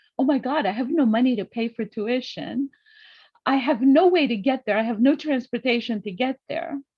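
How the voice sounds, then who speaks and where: A woman with a high pitch talks at a moderate pace with ordinary pitch variation. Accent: Greek. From Greece. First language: Greek. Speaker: summit guest speaker. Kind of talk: interview.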